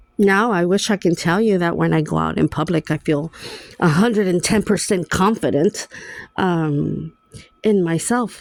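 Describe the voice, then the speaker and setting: A woman's fairly low voice with a non-native accent and ordinary pitch variation, dry and close with no echo. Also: long, frequent pauses, very even loudness. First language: Spanish. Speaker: vlogger. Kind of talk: personal vlog monologue.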